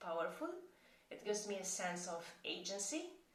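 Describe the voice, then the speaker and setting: In a room with audible echo, a woman speaks at a moderate pace with lively intonation. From Malta. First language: Maltese. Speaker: chronic pain coach. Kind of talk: tutorial.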